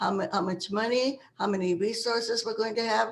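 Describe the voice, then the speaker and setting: A woman speaks at a fairly quick pace with a medium pitch and fairly even intonation. Noticeable background noise is present. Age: 80s+. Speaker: activist. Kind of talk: interview. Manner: halting.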